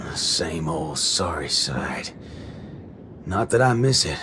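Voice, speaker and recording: Over clear background noise, a man puts on a raspy character voice with a very deep, low pitch and a fairly slow pace. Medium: video game. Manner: drawling, swaggering.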